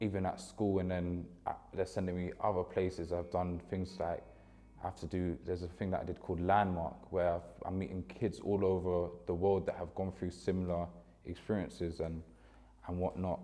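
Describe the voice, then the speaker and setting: A man with a London accent, very deep and low in pitch, with a dark, mellow tone, flat monotone intonation and a moderate pace. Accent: London, multicultural London English. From West London, Ealing. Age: 20s. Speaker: former youth footballer. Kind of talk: documentary interview. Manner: casual, conversational.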